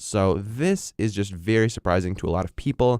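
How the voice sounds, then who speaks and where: A man speaks in a normal speaking voice, fairly low in pitch, with ordinary pitch variation and a moderate pace. The sound is dry and close with no echo, and the recording is very clean against a silent background. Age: young. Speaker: podcast host. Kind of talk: educational podcast talk.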